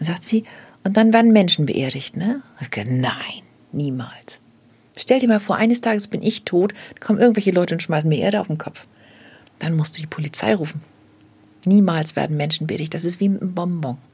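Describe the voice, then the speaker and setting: The speech moves at a fairly quick pace, somewhat breathy, with lively intonation. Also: woman, fairly low pitch for a woman. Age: 60s. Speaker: death doula. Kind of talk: casual chat.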